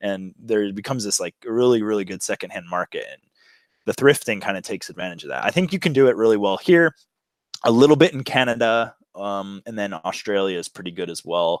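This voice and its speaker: A man with a normal speaking voice, fairly low in pitch, at a fairly quick pace with lively intonation, on a very clean recording with a silent background and a dry, close sound with no echo. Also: big swings in loudness. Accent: American. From USA. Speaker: bicycle touring and thrifting vlogger. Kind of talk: casual interview chat.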